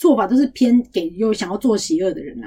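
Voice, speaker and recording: With a dark, mellow tone and a somewhat breathy quality, a woman speaks at a fairly high pitch that swings very widely. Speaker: podcast co-host. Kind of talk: casual chat.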